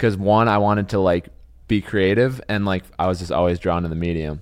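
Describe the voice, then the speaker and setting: Against a quiet background, the speaker talks with an American accent at a fairly quick pace and with fairly even intonation. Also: man. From Wisconsin. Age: 20s. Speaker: podcast host. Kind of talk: casual chat.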